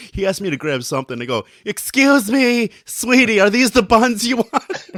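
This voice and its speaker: Loud and high-pitched, a man speaks at a moderate pace with very wide pitch swings in a dry, close sound with no echo. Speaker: podcast co-host. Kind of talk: casual chat.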